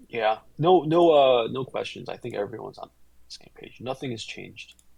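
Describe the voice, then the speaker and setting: Medium pitch from a man, at a moderate pace with ordinary pitch variation. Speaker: crypto trading streamer. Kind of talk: live-stream chart analysis. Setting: live stream, being recorded. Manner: casual, halting with fillers.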